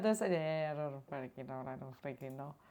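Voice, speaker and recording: Very fast and animated, a woman speaks in an Italian accent. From Italy. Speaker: streamer. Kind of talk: casual chat. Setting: live stream.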